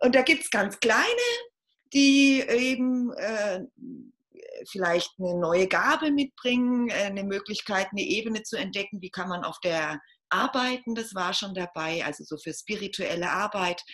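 A woman has a normal speaking voice at a medium pitch. Her intonation is lively and her pace moderate. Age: 40s. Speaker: podcast guest on femininity. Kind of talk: casual interview.

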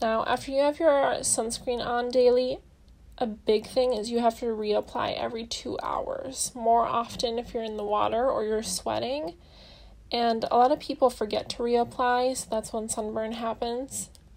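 A normal speaking voice comes at a moderate pace with fairly even intonation. The background is quiet. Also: woman, fairly high pitch for a woman. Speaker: skincare expert guest. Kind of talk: informative advice.

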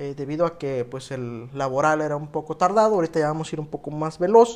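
The man has a plain, everyday voice with a fairly high pitch. He talks at a fairly quick pace. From Mexico, Oaxaca (moved to Baja California Sur at 14). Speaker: podcast host. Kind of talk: solo podcast monologue.

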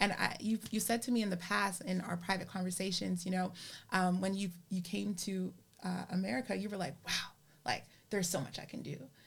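With an animated tone and vocal fry, a woman of medium pitch speaks at a fairly quick pace. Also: ordinary pitch variation. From Canada. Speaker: podcast host. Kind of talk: casual interview.

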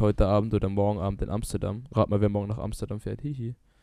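His voice fairly low, the man has a dark, mellow tone and fairly even intonation. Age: 20s. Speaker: podcast co-host. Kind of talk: casual chat.

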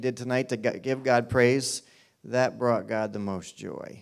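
A man speaks in a plain, everyday voice at medium pitch. His intonation is fairly even and his pace moderate. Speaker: church pastor. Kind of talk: church announcements and introduction. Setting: church.

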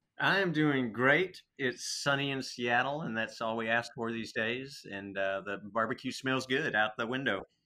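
A man with an American accent speaks at a moderate pace and medium pitch, his bright, sharp tone showing ordinary pitch variation and hardly any pauses. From Texas. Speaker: restaurant owner. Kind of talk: interview.

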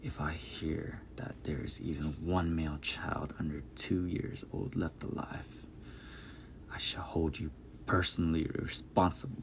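A man uses a put-on character voice, very deep and low, at a moderate pace. Hissing and clear background noise fill the recording. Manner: hissed, menacing.

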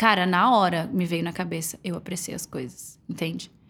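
A woman with an unremarkable speaking voice talks at a moderate pace. Her pitch is medium. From Florianópolis, southern Brazil. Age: 30s. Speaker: digital influencer. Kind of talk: casual chat. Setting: home recording.

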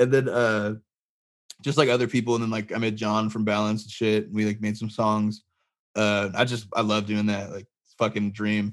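A flat, monotone delivery at a moderate pace. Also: man, fairly low pitch for a man. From US West, Barstow, California. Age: 20s. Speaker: musician. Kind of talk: casual chat. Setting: video call.

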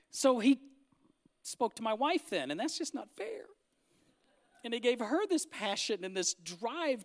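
Someone with an American accent talks at a moderate pace on a very clean recording with a silent background. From Northern California. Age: 50s. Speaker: pastor. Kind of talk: sermon. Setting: church with congregation.

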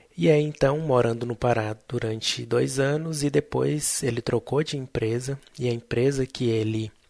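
A man with an ordinary speaking voice talks at a fairly slow pace and a medium pitch with ordinary pitch variation. The recording is very clean, with a silent background. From central Brazil, Tocantins and Goiânia. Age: 20s. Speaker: podcast host, biomedical scientist. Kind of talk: personal storytelling monologue.

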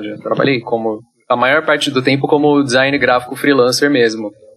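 A man talks at a moderate pace in an unremarkable speaking voice. His intonation stays fairly even. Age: 20s. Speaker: solo game developer. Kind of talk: casual interview.

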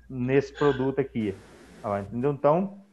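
A plain, everyday voice from a man, fairly high in pitch, at a moderate pace with ordinary pitch variation. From Minas Gerais, Brazil. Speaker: accountant. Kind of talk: live stream panel talk.

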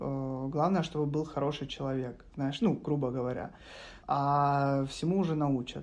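In an ordinary speaking voice, a man talks at a fairly slow pace with fairly even intonation and a fairly high pitch. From Ukraine, Kharkiv. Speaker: web developer. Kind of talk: casual chat.

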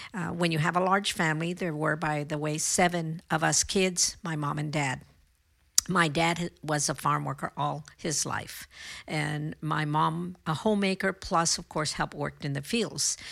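A woman with a very deep, low pitch, vocal fry, fairly even intonation, very clean recording with a silent background. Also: moderate pace. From California Central Valley. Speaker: mayor and political candidate. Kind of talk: interview.

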